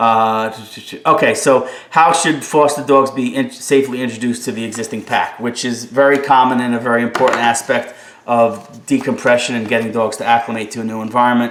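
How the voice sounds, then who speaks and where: Fairly quick speech in a New Jersey accent, with audible room echo and noticeable background noise. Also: man, medium pitch for a man. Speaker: dog trainer. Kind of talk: live stream Q&A. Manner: fast; animated.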